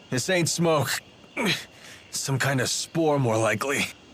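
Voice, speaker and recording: A man puts on a raspy character voice at medium pitch, speaking at a fairly slow pace with ordinary pitch variation. Clear background noise can be heard. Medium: cartoon. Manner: wry, casual.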